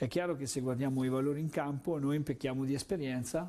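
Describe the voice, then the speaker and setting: Dark, mellow male tone. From central Italy, Orvieto (Umbria); central Italy. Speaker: volleyball coach. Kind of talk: interview. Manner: repetitive, hesitant phrasing. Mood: calm, reflective. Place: studio. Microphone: lapel.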